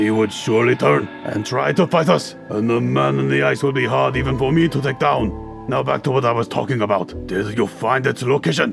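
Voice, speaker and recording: With clear music in the background, a man performs a put-on character voice at a fairly quick pace with very wide pitch swings. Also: medium pitch for a man. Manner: cold, threatening.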